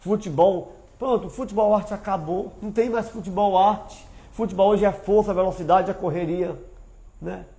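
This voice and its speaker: A man speaks with ordinary pitch variation. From Brazil, Ceará (Aracati). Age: 60s. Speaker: former footballer and amateur coach. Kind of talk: casual chat. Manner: animated.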